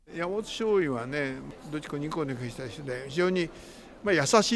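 Over music in the background, a man speaks in a fairly high voice. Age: 80s+. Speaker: wartime eyewitness. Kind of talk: interview.

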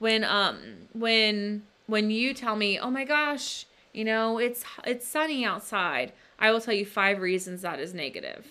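In a very clean recording with a silent background, a woman speaks at a fairly slow pace, her fairly high pitch varying in an ordinary way and her tone bright and sharp. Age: 20s. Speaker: podcast co-host and author. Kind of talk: casual chat.

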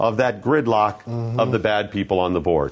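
In an American accent, the speaker talks over a quiet background. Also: man. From US Midwest, Ohio (Geneva on the Lake). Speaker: fill-in talk radio host. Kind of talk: casual talk radio chat. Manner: animated.

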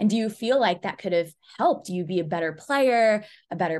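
Over a quiet background, a woman with an American accent uses an ordinary speaking voice at a fairly quick pace with lively intonation. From US, Pakistani heritage. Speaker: podcast host. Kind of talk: interview.

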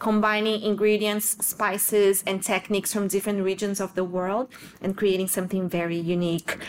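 On a very clean recording with a silent background, a woman of medium pitch speaks at a moderate pace in a monotone, flat intonation. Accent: Portuguese. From southern Brazil. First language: Portuguese. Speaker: nonprofit executive director. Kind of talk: interview.

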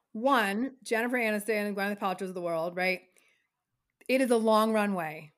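A woman with an unremarkable speaking voice and a medium pitch talks at a moderate pace on a very clean recording with a silent background. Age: 40s. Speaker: talent manager. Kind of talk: casual chat.

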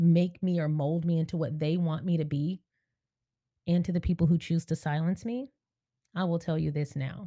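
A woman speaks at a moderate pace in a fairly low pitch, with a dark, mellow tone and fairly even intonation, recorded very cleanly against a silent background with a dry, close sound and no echo. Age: 30s. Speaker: podcast host and YouTuber. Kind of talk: casual monologue.

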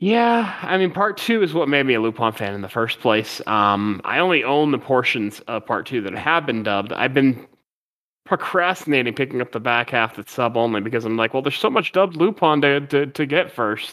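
On a very clean recording with a silent background, a man talks in an ordinary speaking voice. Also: medium pitch for a man, lively intonation, fairly quick pace. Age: 40s. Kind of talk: casual chat.

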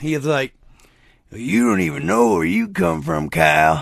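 Against a quiet background, a man puts on a raspy character voice with a very deep, low pitch and very wide pitch swings, speaking at a very slow pace. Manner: reproachful, knowing.

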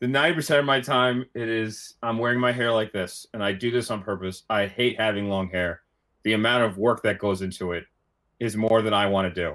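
He talks fairly quickly, with ordinary pitch variation and a medium pitch. The man has an ordinary speaking voice. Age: 30s. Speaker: college rowing coach. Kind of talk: casual chat.

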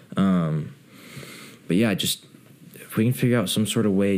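A man with an American accent talks at a moderate pace with lively intonation. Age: young. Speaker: videographer. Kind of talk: casual chat.

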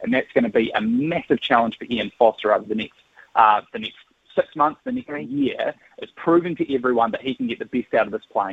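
Speaking at a fairly quick pace with a New Zealand accent, a man lets his loudness swing widely. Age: 30s. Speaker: sports journalist. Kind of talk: radio interview.

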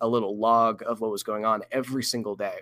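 A man's plain, everyday voice at medium pitch and a moderate pace with fairly even intonation, on a very clean recording with a silent background. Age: 20s. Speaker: paleontologist. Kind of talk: casual chat.

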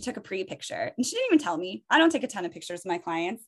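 A woman speaks with very wide swings in pitch. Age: 30s. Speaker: esthetician. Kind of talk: casual chat. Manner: animated.

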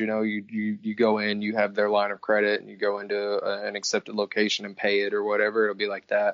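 A man speaks very fast with a fairly low pitch. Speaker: podcast guest. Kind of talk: casual chat.

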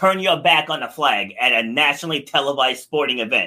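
The man's intonation is lively. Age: 40s. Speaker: podcast host and fitness coach. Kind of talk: casual interview chat. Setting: live stream.

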